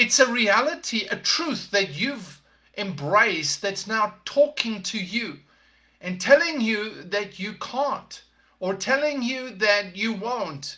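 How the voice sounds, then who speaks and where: A man's raised, projected voice, high in pitch, bright and sharp in tone, with lively intonation at a very slow pace. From South Africa. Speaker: podcast host, leadership coach. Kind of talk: motivational talk. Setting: live podcast broadcast.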